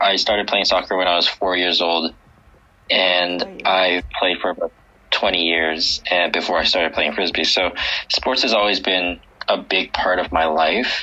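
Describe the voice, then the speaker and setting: A man speaks with a Canadian accent at a very deep, low pitch. His intonation stays fairly even, and there is noticeable background noise. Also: moderate pace. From Vancouver, Canada. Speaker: ultimate frisbee team captain. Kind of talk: interview.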